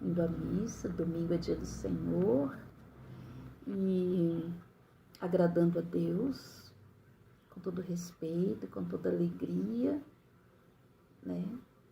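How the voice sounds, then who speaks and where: Slowly, with long, frequent pauses, a woman speaks at a very slow pace amid audible room echo. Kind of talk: bible reflection. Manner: smiling while speaking; hesitant, many fillers.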